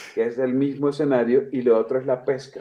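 This man talks at a moderate pace in a medium pitch with ordinary pitch variation. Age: 40s. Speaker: comedian and chef. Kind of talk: casual chat. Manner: animated.

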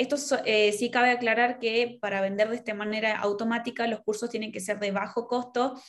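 Speaking at a moderate pace, a woman holds a fairly high pitch with monotone, flat intonation. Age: 20s. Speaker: digital marketer. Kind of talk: interview.

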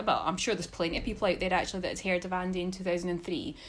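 A woman with a Scottish accent. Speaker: tennis fan podcast guest. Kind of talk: casual chat.

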